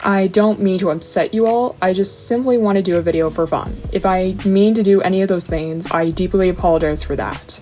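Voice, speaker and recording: Over music in the background, a woman at medium pitch talks at a fairly quick pace with fairly even intonation and hardly any pauses. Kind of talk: casual talk to camera. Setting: home recording, poor mic. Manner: fast.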